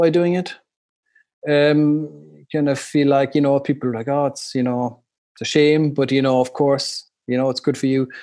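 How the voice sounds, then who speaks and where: A man's dark, mellow tone and fairly high pitch come at a moderate pace. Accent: Irish. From Ireland. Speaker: English teacher living abroad, new father. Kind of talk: casual interview. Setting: remote call.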